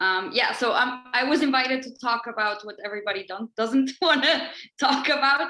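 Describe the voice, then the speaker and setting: With a Spanish accent, a woman speaks at a moderate pace in a high voice with ordinary pitch variation. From Mexico. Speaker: banker. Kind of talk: presentation. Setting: video call.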